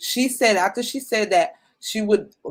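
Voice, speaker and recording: At a moderate pace, a woman speaks in an animated tone. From New York. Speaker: YouTuber. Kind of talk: casual chat. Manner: loud.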